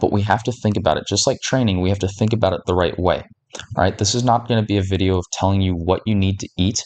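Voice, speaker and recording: Fairly low in pitch, a man talks at a very fast pace with fairly even intonation. The background is quiet. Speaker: fitness content creator. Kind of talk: tutorial. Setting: at home at night. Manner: quiet, close to mic. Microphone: mic very close to face.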